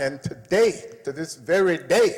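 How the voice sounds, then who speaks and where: A man's speech comes through over noticeable background noise. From United States. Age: 70s. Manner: impassioned.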